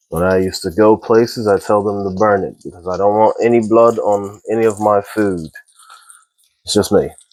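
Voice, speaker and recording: A man with a fairly low pitch talks at a moderate pace in a flat, monotone way. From Texas. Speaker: home cooking video maker. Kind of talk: casual cooking tutorial.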